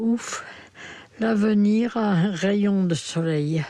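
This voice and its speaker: The speaker is a woman with ordinary pitch variation. Her voice sits at a medium pitch. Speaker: terminally ill woman. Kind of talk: reading aloud a personal testimony.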